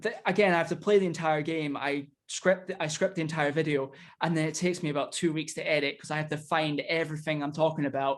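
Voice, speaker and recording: A man talks at a very fast pace in a Scottish accent. His pitch is fairly high and his intonation fairly even. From Scotland. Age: young. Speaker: indie wrestler and YouTuber. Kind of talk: casual chat.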